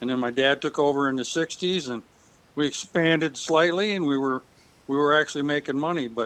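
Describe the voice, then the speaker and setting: The speaker keeps a fairly quick pace and fairly even intonation. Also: man. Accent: Upper Midwest. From West Michigan, US. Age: 70s. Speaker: retired farmer. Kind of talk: interview. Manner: halting.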